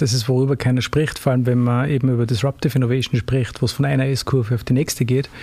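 Speaking at a very fast pace with hardly any pauses, a man with an Austrian accent uses a dark, mellow, somewhat breathy voice of medium pitch, keeping his loudness very even and his intonation fairly even. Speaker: lawyer and consulting partner. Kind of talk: interview.

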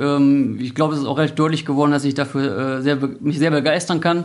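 A man with a fairly high pitch, at a very fast pace. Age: 30s. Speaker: police helicopter crew officer. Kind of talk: interview.

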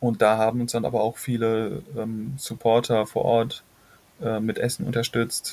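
Here a man speaks at a medium pitch and a fairly slow pace. His intonation is monotone and flat. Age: 20s. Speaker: climate activist and documentary filmmaker. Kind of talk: interview. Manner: halting.

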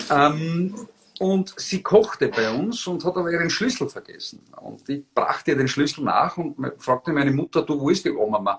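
Over noticeable background noise, a man talks at a high pitch with very wide pitch swings. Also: moderate pace. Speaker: former politician, political blogger and rhetoric trainer. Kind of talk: interview. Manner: articulate.

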